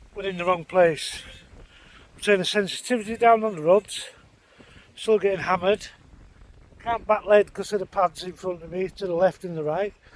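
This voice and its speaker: Over noticeable background noise, a high-pitched man talks fairly quickly with long, frequent pauses, fairly even intonation and big swings in loudness. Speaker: fishing vlogger. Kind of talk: casual vlog narration. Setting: outdoors on a lakeside bank. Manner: quiet.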